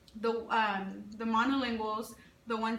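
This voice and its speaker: Amid audible room echo, a woman with a Spanish accent speaks at a moderate pace with fairly high pitch and fairly even intonation. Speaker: teacher. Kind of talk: interview. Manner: halting.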